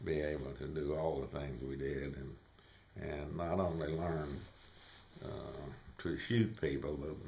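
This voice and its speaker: Very slow and marked by vocal fry, the speech has fairly even intonation, a Southern US accent and audible room echo. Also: man. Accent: Southern US (Georgia). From US South, northwest Georgia. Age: 80s+. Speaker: war veteran. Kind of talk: interview. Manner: halting, many fillers.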